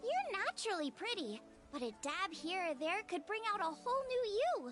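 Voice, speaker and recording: Over clear music in the background, a woman in a put-on character voice speaks at a moderate pace with an extremely high pitch and very wide pitch swings. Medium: video game. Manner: smooth, refined.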